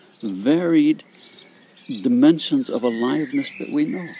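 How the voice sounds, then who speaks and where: Over noticeable background noise, the speaker keeps a calm tone at a moderate pace while the pitch swings very widely. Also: man. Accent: American. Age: 80s+. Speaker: psychologist and founder of an imagery therapy method. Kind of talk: interview. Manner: calm, reflective.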